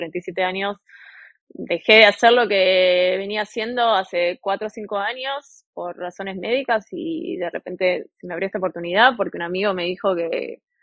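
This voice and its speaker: A woman's plain, everyday voice, medium in pitch, with ordinary pitch variation. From Argentina, Buenos Aires. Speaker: railway worker, former chef. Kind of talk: interview.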